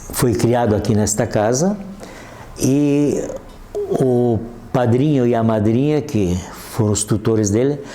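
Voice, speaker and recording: A man talks at a very slow pace, with long, frequent pauses and very even loudness. The recording has audible room echo and noticeable background noise. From Brazil, Santa Catarina (Corupá). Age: 80s+. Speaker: local elder, retired accountant. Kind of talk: oral history interview. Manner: halting, many restarts.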